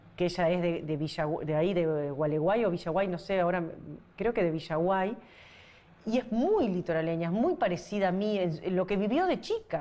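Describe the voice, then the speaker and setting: A woman with a dark, mellow tone and very even loudness. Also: medium pitch for a woman, ordinary pitch variation, moderate pace. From Uruguay, Paysandú. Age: 40s. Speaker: singer-songwriter. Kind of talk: interview. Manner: halting.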